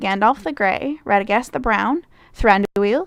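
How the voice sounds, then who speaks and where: With a Midwestern accent, a woman speaks in a fairly high pitch with lively intonation. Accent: Midwestern, said to be like Canadian. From US Midwest, Michigan. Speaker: vlogger. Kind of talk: accent challenge, reading a word list. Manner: casual, hesitant with fillers.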